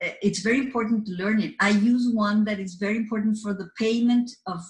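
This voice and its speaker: A somewhat breathy woman with a Spanish accent and fairly even intonation. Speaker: office assistant. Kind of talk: career talk to camera. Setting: office. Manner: halting, with repeated words and fillers.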